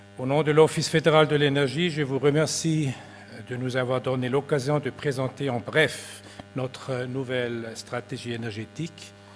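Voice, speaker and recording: With a Swiss German accent, this speaker talks at a fairly slow pace with fairly even intonation over noticeable background noise. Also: man, medium pitch for a man. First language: Swiss German (speaking French). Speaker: government energy official. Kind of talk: conference presentation. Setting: conference with audience. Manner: formal.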